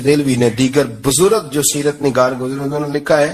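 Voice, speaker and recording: A man speaks with fairly even intonation. His voice is fairly high. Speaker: Islamic preacher. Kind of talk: religious sermon. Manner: emotional.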